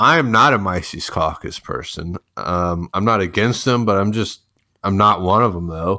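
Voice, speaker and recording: A man's ordinary speaking voice with an American accent, fairly low in pitch, at a moderate pace and with ordinary pitch variation. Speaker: online troll. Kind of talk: casual banter. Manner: joking, sarcastic, profane.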